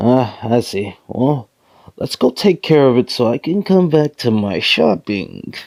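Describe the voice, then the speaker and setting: On a very clean recording with a silent background, a man performs a put-on character voice at a medium pitch and a fairly slow pace. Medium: audio drama.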